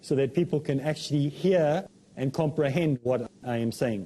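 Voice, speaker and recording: Somewhat breathy, a man speaks at a fairly high pitch with ordinary pitch variation. His pace is moderate. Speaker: Islamic preacher. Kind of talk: religious talk show lecture.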